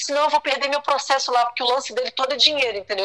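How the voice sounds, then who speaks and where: A woman's high-pitched voice is raised and projected. Her tone is bright and sharp. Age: 50s. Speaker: guest sharing personal story. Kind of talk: testimony. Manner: animated.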